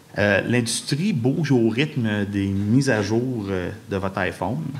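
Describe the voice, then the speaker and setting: A man's medium-pitched voice with lively intonation and a Quebec accent. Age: 40s. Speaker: video game industry director. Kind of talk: public lecture. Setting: stage with audience. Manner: animated.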